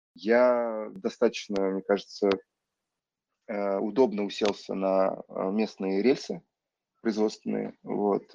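A man speaks at a very slow pace with long, frequent pauses. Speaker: film director. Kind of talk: casual interview.

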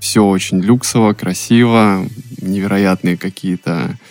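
An ordinary speaking voice from a man, fairly even in intonation, with a dry, close sound and no echo. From Russia, Saint Petersburg. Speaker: podcast producer, former car salesman. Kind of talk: casual chat.

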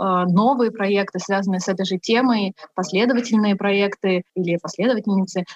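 The voice is somewhat breathy, with ordinary pitch variation at a moderate pace. The sound is dry and close, with no echo. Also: woman. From Buryatia. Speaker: feminist activist. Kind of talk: interview.

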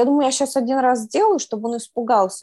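The sound is dry and close with no echo at all. A woman speaks at a very fast pace. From Moscow region, Russia. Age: 30s. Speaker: former prisoner, blogger, nail technician. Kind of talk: interview testimony.

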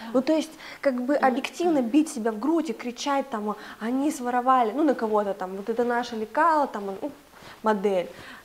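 A woman speaks with high pitch at a moderate pace. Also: ordinary pitch variation. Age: 20s. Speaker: clothing brand co-founder. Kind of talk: casual interview. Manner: animated.

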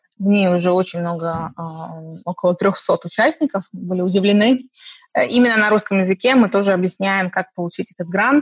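At a moderate pace, a woman with medium pitch and a somewhat breathy voice has ordinary pitch variation, sounding dry and close with no echo. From Estonia, Russian-speaking, born in Khabarovsk. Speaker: magazine publisher. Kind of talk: interview.

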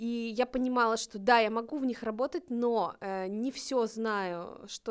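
A woman with a fairly high pitch and fairly even intonation, in an ordinary speaking voice, on a very clean recording with a silent background. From northern Russia, Novodvinsk. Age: 30s. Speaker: volunteer program coordinator, blind. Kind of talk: casual chat.

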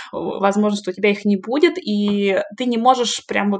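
At a medium pitch, a woman speaks with an unremarkable speaking voice. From Russia. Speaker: PhD candidate in medical sciences. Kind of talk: interview.

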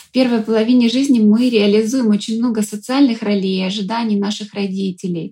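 A woman's fairly high, somewhat breathy voice, dark and mellow in tone, at a moderate pace with fairly even intonation. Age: 40s. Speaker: psychologist and coach. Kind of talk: interview. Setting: studio.

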